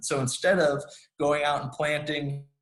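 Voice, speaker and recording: Fairly quick, somewhat breathy speech from a man with a fairly high pitch. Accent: American. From US Midwest. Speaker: conservation nonprofit director. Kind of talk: presentation. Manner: fast; many fillers and restarts.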